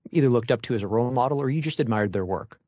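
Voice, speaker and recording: Over a quiet background, a man with a Canadian accent talks with ordinary pitch variation. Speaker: podcast host. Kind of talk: interview conversation.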